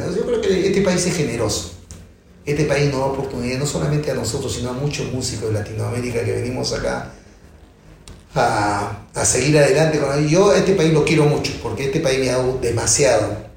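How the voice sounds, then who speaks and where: A man at a medium pitch, fairly quick and lively in intonation, with audible room echo. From Peru, Callao. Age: 60s. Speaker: percussionist. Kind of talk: interview.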